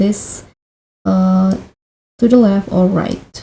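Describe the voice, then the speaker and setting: A woman with an Indonesian accent speaks very slowly at medium pitch, somewhat breathy. Her tone is dark and mellow, and her intonation is monotone and flat. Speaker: tech tutorial youtuber. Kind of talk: tutorial.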